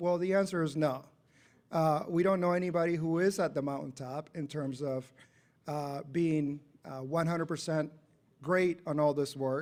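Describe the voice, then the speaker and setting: A man with a fairly high pitch speaks at a moderate pace with fairly even intonation. He has an unremarkable speaking voice, captured in a very clean recording with a silent background. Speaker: civil rights official, guest speaker. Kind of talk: presentation.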